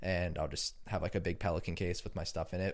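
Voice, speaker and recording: A man talks at a moderate pace in a plain, everyday voice, recorded very cleanly with a silent background. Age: 20s. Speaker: music producer and DJ. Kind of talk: casual chat.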